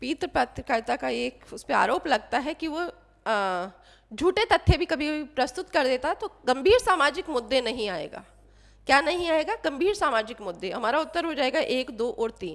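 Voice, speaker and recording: A high-pitched woman's voice at a fairly slow pace, with very wide pitch swings, on a very clean recording against a silent background. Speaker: Hindi literature teacher. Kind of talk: exam quiz tutorial.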